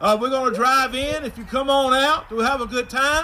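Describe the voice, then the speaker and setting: A man speaks in a raised, projected voice at an extremely high pitch and a moderate pace. Background noise is noticeable. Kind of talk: prayer and introduction at church service. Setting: drive-in church, congregation in vehicles.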